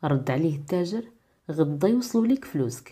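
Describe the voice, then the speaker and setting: A woman speaks at a fairly slow pace with a somewhat breathy, dark and mellow tone. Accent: Moroccan. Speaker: radio-style program presenter and storyteller. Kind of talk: folk tale storytelling narration.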